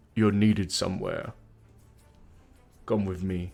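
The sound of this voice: A man puts on a character voice that is hoarse and gravelly, pitched fairly low. He speaks at a moderate pace with music in the background.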